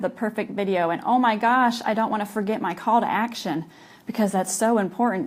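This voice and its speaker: Fairly high-pitched female voice, ordinary in its pitch variation. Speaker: entrepreneur. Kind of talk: casual vlog talk to camera. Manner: casual, with filler words.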